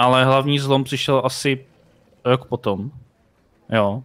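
The background is quiet while a man talks. His pace is moderate and his pitch variation ordinary. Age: 30s. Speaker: streamer. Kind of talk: casual chat. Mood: relaxed, anecdotal. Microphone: headset.

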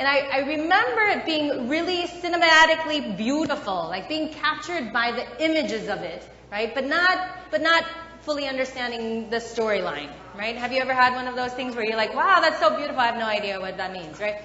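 A woman's high voice at a fairly quick pace, with light background noise and audible room echo. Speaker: pastor. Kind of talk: sermon. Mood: warm, playful. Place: church. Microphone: lapel.

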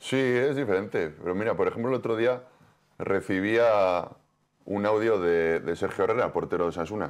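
Over a quiet background, a man talks at a moderate pace with a fairly low pitch and ordinary pitch variation. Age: 40s. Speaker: professional football goalkeeper; guest. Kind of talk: TV sports interview. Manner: halting, many repetitions. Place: studio. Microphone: lapel.

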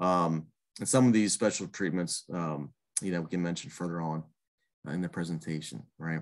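A man with an American accent speaks in a very deep, low voice over a quiet background. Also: ordinary pitch variation, moderate pace. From Pittsburgh, Pennsylvania. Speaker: master gardener coordinator; presenter. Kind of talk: online presentation. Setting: video call. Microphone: webcam.

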